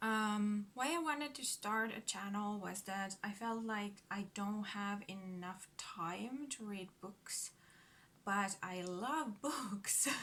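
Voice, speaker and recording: A woman with a Finnish accent talks at a very slow pace. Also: medium pitch for a woman, ordinary pitch variation. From Finland. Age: 30s. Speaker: book vlogger. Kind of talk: casual vlog introduction. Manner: halting.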